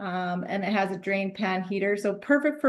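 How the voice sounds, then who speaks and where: Heard against a quiet background, a woman has an unremarkable speaking voice, medium in pitch, at a moderate pace. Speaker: mechanical engineer. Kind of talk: technical presentation.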